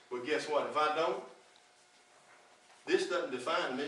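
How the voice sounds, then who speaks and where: Over audible room echo and noticeable background noise, a man with a Southern US accent speaks at a fairly quick pace and a fairly high pitch with ordinary pitch variation. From Virginia. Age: 60s. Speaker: political candidate. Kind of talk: campaign speech. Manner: animated.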